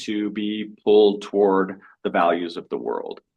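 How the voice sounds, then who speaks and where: A man talks in a plain, everyday voice. His pitch is fairly low, with ordinary variation. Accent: American. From Colorado, US. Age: 50s. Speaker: missionary and author. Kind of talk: interview.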